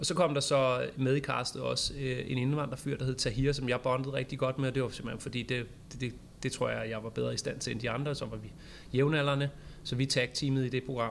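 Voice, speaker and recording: A plain, everyday voice from a man, medium-pitched, with a moderate pace and fairly even intonation. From Copenhagen, Denmark. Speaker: social media teacher. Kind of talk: casual chat. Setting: studio.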